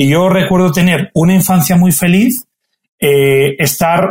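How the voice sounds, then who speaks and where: High pitch from a male speaker, with ordinary variation in pitch. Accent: Castilian. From Extremadura, Spain. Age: 40s. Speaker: football referee. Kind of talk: interview.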